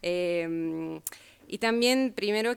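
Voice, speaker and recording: In a very clean recording with a silent background, a woman speaks with an Italian accent. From Italy. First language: Italian (speaking Spanish). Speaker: sociology researcher and speaker. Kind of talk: lecture. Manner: halting.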